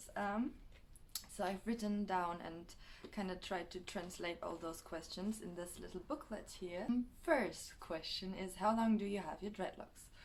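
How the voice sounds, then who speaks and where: In a German accent, a woman speaks at a fairly slow pace with a medium pitch and ordinary pitch variation. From Germany. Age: 20s. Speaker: vlogger. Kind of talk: casual vlog. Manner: hesitant, many fillers.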